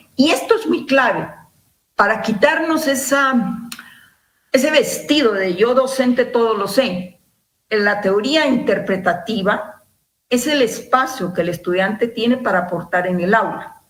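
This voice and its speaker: There is audible room echo as a woman talks at a fairly high pitch. She speaks at a fairly slow pace with lively intonation. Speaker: university lecturer. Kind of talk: lecture. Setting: video call.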